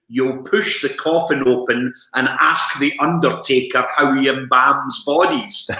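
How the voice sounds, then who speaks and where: Audible room echo surrounds a man with a Scottish accent who speaks fairly slowly at a fairly high pitch. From Scotland, Perth. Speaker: broadcaster and author. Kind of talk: interview.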